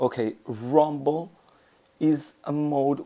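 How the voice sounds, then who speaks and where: In a non-native accent, a man talks with a dark, mellow tone at a fairly high pitch. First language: not English. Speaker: mobile game video creator. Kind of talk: tutorial. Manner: halting.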